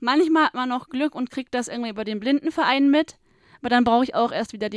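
A woman with an unremarkable speaking voice talks at a fairly high pitch with fairly even intonation, the sound dry and close with no echo. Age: 20s. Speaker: trainee office clerk, visually impaired. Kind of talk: interview. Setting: studio.

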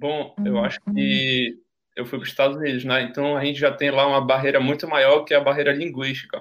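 A man with a plain, everyday voice, fairly high in pitch, at a fairly quick pace with fairly even intonation. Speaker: university student. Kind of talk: casual chat, storytelling.

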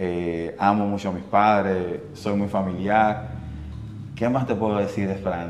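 Very slow male speech, fairly low in pitch with fairly even intonation, in audible room echo. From Dominican Republic, Santiago. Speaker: radio host and producer. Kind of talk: casual interview. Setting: studio.

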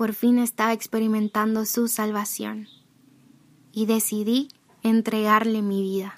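A woman's fairly high voice at a very slow pace, on a very clean recording with a silent background. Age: 20s. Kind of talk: personal testimony.

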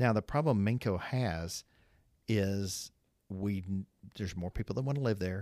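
On a very clean recording with a silent background, a man with an American accent and fairly low pitch talks at a moderate pace with ordinary pitch variation and long, frequent pauses, the sound dry and close with no echo. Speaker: trucking business owner. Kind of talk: casual chat.

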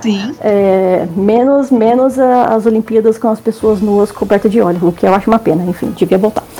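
A woman's speech with ordinary pitch variation and hardly any pauses, over noticeable background noise. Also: fairly high pitch for a woman, moderate pace. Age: 30s. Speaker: historian. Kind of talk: casual chat.

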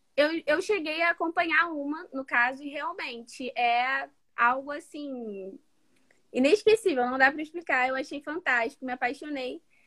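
A woman's raised, projected voice comes through high in pitch, bright and sharp in tone, with big swings in loudness. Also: ordinary pitch variation, moderate pace. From Rio de Janeiro, Baixada Fluminense. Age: 20s. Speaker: medical student. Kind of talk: interview. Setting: at home.

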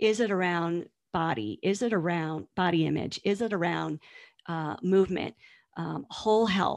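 A plain, everyday voice with an American accent keeps a moderate pace and lively intonation. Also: woman, fairly low pitch for a woman. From US East Coast. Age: 50s. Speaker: nutrition and body image coach. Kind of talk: interview conversation.

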